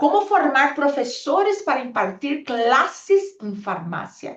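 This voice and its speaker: A woman with a Portuguese accent, very wide pitch swings and a very slow pace. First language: Portuguese (speaking Spanish). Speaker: pharmacist and public health policy expert. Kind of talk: panel presentation. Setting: video call. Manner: halting.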